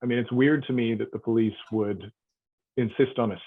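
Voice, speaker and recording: A man with a Canadian accent. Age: 50s. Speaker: resident giving testimony. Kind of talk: testimony. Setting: online hearing.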